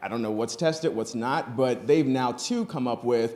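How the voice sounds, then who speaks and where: A man with an American accent speaks at a fairly quick pace, his medium pitch showing ordinary variation. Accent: Southern accent, comes out at times. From Texas. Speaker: cannabis industry panelist. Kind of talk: conference panel discussion. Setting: stage with audience.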